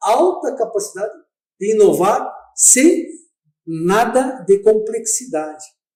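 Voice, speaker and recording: Here a man speaks in a dark, mellow tone. His pitch swings very widely. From southern Brazil. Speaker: dental scientist. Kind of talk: radio interview. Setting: radio studio.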